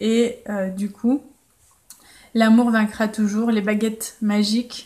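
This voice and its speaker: Her voice is somewhat breathy and fairly high for a woman, delivered in a monotone with flat intonation. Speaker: life coach and blogger. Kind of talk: solo podcast monologue. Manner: casual, with frequent hesitations.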